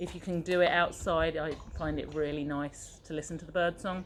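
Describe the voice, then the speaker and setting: Her intonation stays fairly even as the woman talks at a fairly low pitch. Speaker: circus fitness instructor. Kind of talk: casual chat; guided meditation. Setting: outdoors. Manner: slow; soft-spoken.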